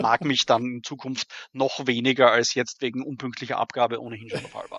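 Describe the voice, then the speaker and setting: Moving at a fairly quick pace, a man uses an ordinary speaking voice with medium pitch and fairly even intonation. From Austria, Graz. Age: 40s. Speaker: role-playing adventure writer. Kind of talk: interview.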